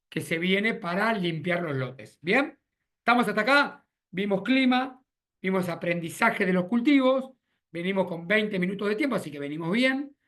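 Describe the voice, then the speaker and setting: A bright, sharp tone with lively intonation, a moderate pace, and an Argentine accent. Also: man. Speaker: agronomist consultant. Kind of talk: webinar presentation. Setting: video call.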